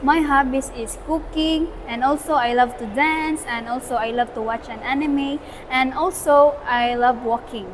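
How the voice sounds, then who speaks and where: Noticeable background noise sits behind a woman with a Filipino accent. Her pitch is high and her pace fairly slow. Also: ordinary pitch variation. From Philippines. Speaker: student. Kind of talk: interview answer. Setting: outdoors.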